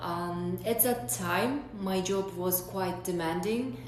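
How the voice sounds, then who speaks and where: A woman talks at a fairly slow pace. Room echo is audible, along with noticeable background noise. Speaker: vlogger sharing exam experience. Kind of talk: personal advice vlog. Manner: hesitant, many fillers.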